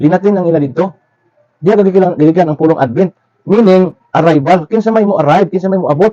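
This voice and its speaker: A dark, mellow voice in a Philippine accent, fairly quick, with ordinary pitch variation and a dry, close sound with no echo. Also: man. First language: Cebuano (speaking Tagalog). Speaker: religious commentator. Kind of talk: religious lecture.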